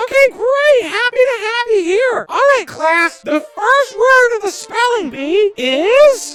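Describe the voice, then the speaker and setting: A put-on character voice moves at a fairly slow pace with hardly any pauses. Faint music plays in the background. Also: female-sounding voice, extremely high pitch for a woman. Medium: game stream. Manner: bright, cheerful teacher tone.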